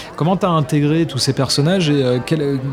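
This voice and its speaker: A man talks at a very fast pace with ordinary pitch variation, and there is noticeable background noise. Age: 40s. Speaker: voice actor. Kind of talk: casual chat.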